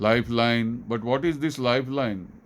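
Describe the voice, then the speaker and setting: A man's monotone, flat intonation with audible room echo. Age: 60s. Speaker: scientist. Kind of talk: lecture.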